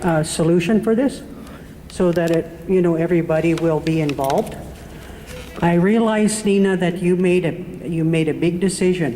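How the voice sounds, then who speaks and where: A woman with an American accent speaks at a moderate pace, with a fairly low pitch, ordinary pitch variation and very even loudness. Noticeable background noise and audible room echo are present. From Omak area, Washington (US Pacific Northwest). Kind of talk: public comment at community meeting. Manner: halting, hesitant.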